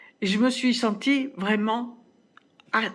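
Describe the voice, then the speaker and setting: Somewhat breathy, very slow speech with ordinary pitch variation. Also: woman. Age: 70s. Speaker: fitness program participant. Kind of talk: testimony. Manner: halting, many hesitations.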